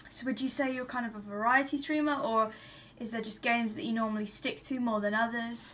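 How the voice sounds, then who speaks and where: A woman with an ordinary speaking voice, fairly high pitch and ordinary pitch variation. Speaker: podcast co-host. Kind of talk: casual interview chat.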